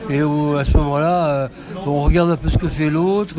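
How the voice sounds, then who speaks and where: Fairly even intonation comes through noticeable background noise. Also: man. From France, Lyon. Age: old. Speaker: retired game designer and author. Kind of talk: casual interview. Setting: festival stand. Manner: halting.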